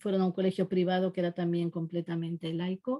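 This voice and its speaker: A woman's somewhat breathy voice, medium in pitch and dark and mellow in tone, carries fairly even intonation with a dry, close sound and no echo. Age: 60s. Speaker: literary translator. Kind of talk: online talk. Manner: hesitant, many fillers.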